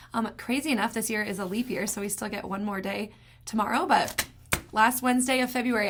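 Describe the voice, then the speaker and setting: Noticeable background noise sits behind a woman's fairly high voice. She talks at a fairly quick pace with ordinary pitch variation. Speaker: real estate agent. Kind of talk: market update vlog. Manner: fast.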